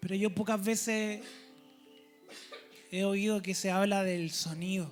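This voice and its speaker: With music playing in the background, a man with a high-pitched voice speaks at a very slow pace. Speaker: preacher. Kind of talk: church sermon.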